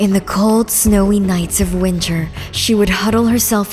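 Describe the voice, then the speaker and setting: A woman at a medium pitch and a fairly slow pace, with fairly even intonation and music in the background. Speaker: narrator. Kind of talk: fairy-tale lore narration.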